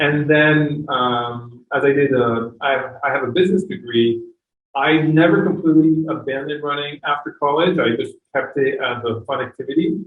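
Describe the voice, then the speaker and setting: In a French accent, a man speaks at a fairly high pitch. His pace is moderate and his pitch variation ordinary. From France, Chamonix. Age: 40s. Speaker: running coach. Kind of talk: podcast interview. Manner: halting, many fillers.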